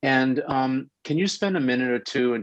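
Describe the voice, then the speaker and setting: In a New York accent, a man speaks with a dry, close sound and no echo. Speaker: radio host. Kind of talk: interview.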